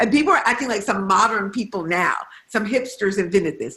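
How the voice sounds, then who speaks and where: In a normal speaking voice, a woman with an American accent talks at a fairly quick pace and medium pitch, with ordinary pitch variation. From Detroit, US Midwest. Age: 60s. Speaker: novelist. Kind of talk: author conversation. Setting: video call.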